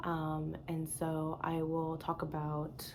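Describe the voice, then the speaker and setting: In a room with audible echo, a woman speaks with a fairly low pitch and a dark, mellow tone. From US East Coast. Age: 20s. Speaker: knitting podcaster. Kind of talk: casual vlog monologue. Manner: casual, hesitant with fillers.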